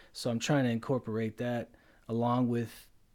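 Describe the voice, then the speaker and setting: A man speaks at a medium pitch with a dark, mellow tone. The recording is very clean, with a silent background. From Romania. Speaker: YouTuber, podcast co-host. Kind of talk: casual chat.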